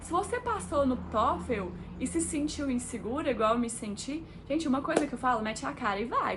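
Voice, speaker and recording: Woman with a fairly high pitch and lively intonation, moderate pace, noticeable background noise and audible room echo. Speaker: engineer and vlogger. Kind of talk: casual vlog talk to camera. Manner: chatty, conversational with fillers.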